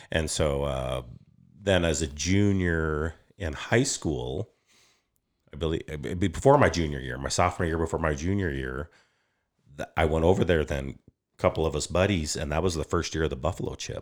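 On a very clean recording with a silent background, a voice with an American accent and vocal fry speaks at a moderate pace, with ordinary pitch variation and long, frequent pauses. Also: man, very deep, low pitch for a man. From Wyoming, US. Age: 50s. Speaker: property developer. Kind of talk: casual chat.

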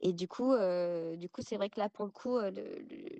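A woman speaks at a medium pitch and a very slow pace, her tone dark and mellow with ordinary pitch variation. The sound is dry and close, with no echo. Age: 30s. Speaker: guest sharing personal testimony. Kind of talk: testimony.

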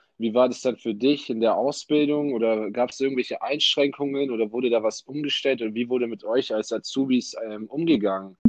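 Using a plain, everyday voice, a man at medium pitch speaks at a fairly quick pace with fairly even intonation and hardly any pauses. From Ulm, southern Germany. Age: 20s. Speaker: university student and podcast host. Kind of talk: casual interview podcast.

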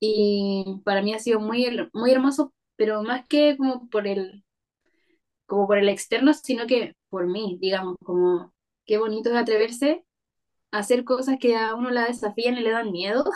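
The woman's voice is fairly high, with ordinary pitch variation. She speaks at a fairly slow pace. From Chile, Maule region (Parral). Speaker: illustrator. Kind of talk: interview conversation.

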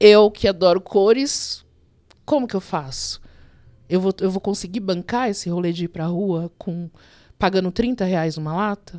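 Speaking at a moderate pace in a dark, mellow tone, a woman with medium pitch and ordinary pitch variation leaves long, frequent pauses, captured in a very clean recording with a silent background. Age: 50s. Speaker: graffiti artist. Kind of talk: interview.

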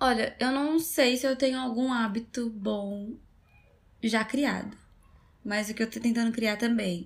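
Somewhat breathy and fairly high-pitched, a woman speaks at a fairly slow pace with ordinary pitch variation. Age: 20s. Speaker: podcast host. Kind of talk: casual chat.

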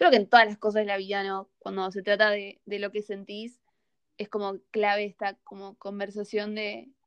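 A woman speaks in a monotone, flat intonation, her loudness swinging widely. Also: medium pitch for a woman, moderate pace, dry, close sound with no echo. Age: young. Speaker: podcast host. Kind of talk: casual chat.

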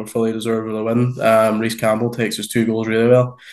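Speaking very fast with a Northern Irish accent, a man keeps a flat, monotone intonation. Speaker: podcast co-host. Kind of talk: casual chat.

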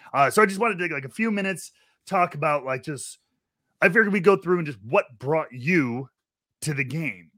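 Speaking fairly quickly in an ordinary speaking voice, a man with fairly high pitch uses lively intonation. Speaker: podcast host. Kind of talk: casual chat.

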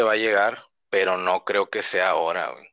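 Speaking at a fairly slow pace, a man has a bright, sharp tone in a dry, close recording with no echo. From northern Mexico, Reynosa, Tamaulipas. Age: 30s. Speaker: podcast guest, fan. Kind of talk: casual chat.

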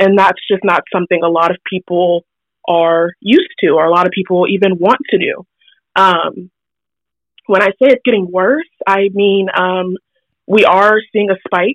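A woman talks at a moderate pace with a medium pitch and a plain, everyday voice. Her intonation stays fairly even. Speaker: public health student. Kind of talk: interview. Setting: phone call.

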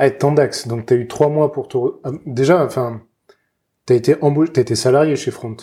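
Long, frequent pauses break up the somewhat breathy speech of a man with a fairly high pitch. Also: fairly even intonation, moderate pace. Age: 30s. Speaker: podcast host. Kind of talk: interview.

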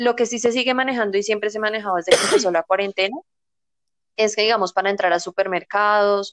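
A woman with a plain, everyday voice at a medium pitch, fairly even in intonation, in a dry, close sound with no echo. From Colombia, near Bogotá. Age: 20s. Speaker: flight attendant. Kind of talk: casual chat.

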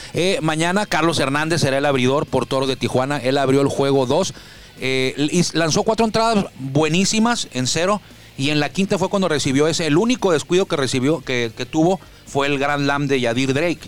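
Over noticeable background noise, a man with a fairly high voice speaks at a moderate pace, with ordinary pitch variation and very even loudness. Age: 40s. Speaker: sports radio host. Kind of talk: casual sports talk. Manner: animated.

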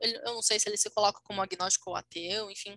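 A woman speaks in a raised, projected voice. The tone comes across bright and sharp. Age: 20s. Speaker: podcast co-host. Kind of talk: casual chat.

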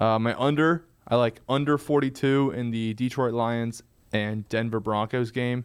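The speaker has an unremarkable speaking voice. The intonation stays fairly even. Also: man. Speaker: podcast co-host. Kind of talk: casual sports chat. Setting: studio.

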